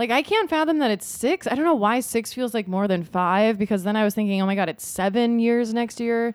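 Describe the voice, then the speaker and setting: In a Midwestern American accent, a woman speaks at a fairly high pitch with very wide pitch swings. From US Midwest. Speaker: podcast co-host. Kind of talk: casual chat.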